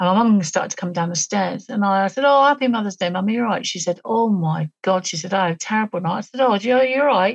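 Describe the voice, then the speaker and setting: A woman with a British accent, somewhat breathy, at a fairly quick pace with lively intonation and a dry, close sound with no echo. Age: 50s. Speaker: author and alien abduction experiencer. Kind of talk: interview testimony.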